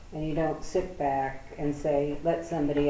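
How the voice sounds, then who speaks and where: A woman with an American accent speaks at a very deep, low pitch. There is audible room echo and noticeable background noise. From USA. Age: 80s. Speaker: interviewee recalling wartime childhood. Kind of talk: oral history interview.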